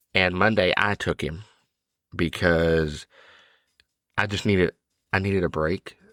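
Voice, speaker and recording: In a very clean recording with a silent background and a dry, close sound with no echo, a man speaks at a very deep, low pitch. His delivery is monotone and flat at a fairly slow pace. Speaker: podcast host. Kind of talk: casual podcast monologue. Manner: halting, repeats words.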